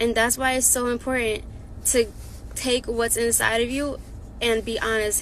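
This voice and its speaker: With audible room echo, a woman talks at a moderate pace and a fairly high pitch. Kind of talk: encouraging devotional talk.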